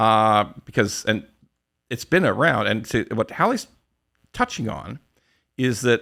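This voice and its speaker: A man speaks with a Canadian accent and lively intonation. The recording is very clean, with a silent background. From western Canada. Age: 60s. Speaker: podcast host, mortgage broker. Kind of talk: casual interview. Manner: loud.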